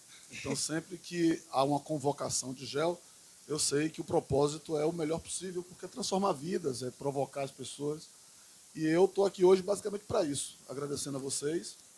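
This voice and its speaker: A fairly high-pitched man at a moderate pace, ordinary pitch variation, and noticeable background noise. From Bahia, Recôncavo Baiano. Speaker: politician and teacher. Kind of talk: podcast interview. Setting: school event with live audience.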